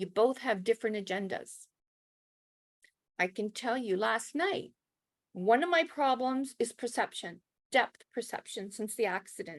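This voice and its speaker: Speaking at a fairly slow pace with long, frequent pauses, a woman with a Canadian accent uses lively intonation and a fairly high pitch. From Canada. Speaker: brain injury survivor and spiritualist minister. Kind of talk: personal testimony talk. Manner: slow, carefully enunciated.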